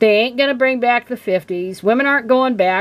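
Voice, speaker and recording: A woman speaks in an animated, angry tone. Her pitch is fairly high and her intonation lively. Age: 60s. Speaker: video blogger. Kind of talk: casual commentary rant. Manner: halting with fillers.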